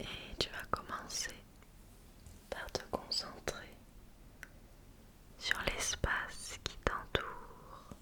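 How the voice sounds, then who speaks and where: A woman whispers at a very slow pace, leaving long, frequent pauses. Noticeable background noise sits behind her. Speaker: ASMR creator. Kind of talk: guided sleep relaxation. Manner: slow, soft-spoken.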